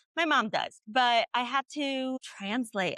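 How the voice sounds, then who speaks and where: A woman's bright, sharp voice with a Chicago accent, ordinary pitch variation, and a dry, close sound with no echo. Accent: Chicago American. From US Midwest, Chicago. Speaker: plant medicine facilitator. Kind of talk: interview.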